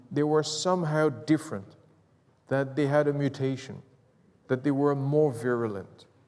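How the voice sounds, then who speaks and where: The voice has a dark, mellow tone and a French accent. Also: man. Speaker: professor. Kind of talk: lecture. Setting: stage with audience. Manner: animated.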